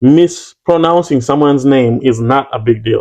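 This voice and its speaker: A man's dark, mellow, medium-pitched voice with a Ugandan accent. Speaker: YouTuber. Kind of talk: casual chat.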